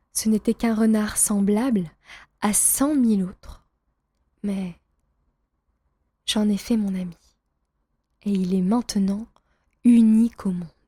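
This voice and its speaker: A woman with a fairly high pitch and a dark, mellow, somewhat breathy tone speaks at a very slow pace with long, frequent pauses and fairly even intonation, in a very clean recording with a silent background. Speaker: French teacher reading a story aloud. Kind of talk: reading aloud. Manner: clear.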